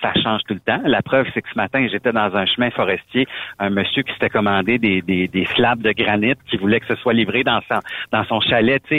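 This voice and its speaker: Speaking at a moderate pace with fairly even intonation, the man has a fairly low pitch and an ordinary speaking voice. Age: 40s. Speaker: truck driver and former radio host. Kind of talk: casual chat.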